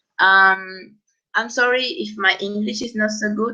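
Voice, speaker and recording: In a Peruvian accent, a woman speaks at a fairly slow pace with a fairly high pitch, a bright, sharp tone and ordinary pitch variation. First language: Spanish. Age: 20s. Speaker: student organization trainer. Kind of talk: online training presentation. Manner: halting, many fillers.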